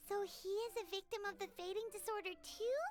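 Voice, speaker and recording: Squeaky, extremely high put-on character voice at a fairly quick pace, over clear background noise. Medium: video game. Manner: bright, eager.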